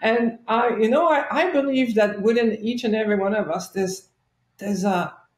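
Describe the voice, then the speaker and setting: Speaking with a French-Canadian accent, a woman has a fairly high, somewhat breathy voice. Her pace is moderate and her pitch variation ordinary. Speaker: chiropractor and life coach. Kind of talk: interview storytelling.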